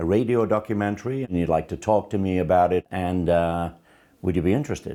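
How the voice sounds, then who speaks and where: Very fast speech comes from a man with a Liverpool accent and a very deep, low pitch. His tone is dark and mellow, and the recording is very clean with a silent background. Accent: Scouse. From Liverpool, England. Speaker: first-time actor. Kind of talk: interview testimony.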